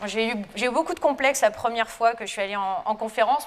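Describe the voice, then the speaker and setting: A woman with a high pitch talks at a very fast pace. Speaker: lecturer-researcher in geology. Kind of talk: lecture.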